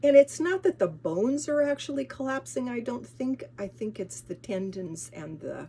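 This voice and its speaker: Speaking at a moderate pace with an American accent, a woman at a medium pitch shows very wide pitch swings, big swings in loudness and vocal fry. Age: 70s. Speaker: lifestyle vlogger. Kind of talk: casual vlog talk. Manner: halting, many restarts and fillers.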